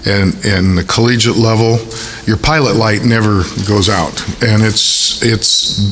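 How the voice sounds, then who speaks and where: A man's medium-pitched voice at a fairly slow pace with fairly even intonation, amid noticeable background noise and audible room echo. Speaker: university athletic director. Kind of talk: press conference. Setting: press conference at a stadium. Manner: hesitant with many fillers.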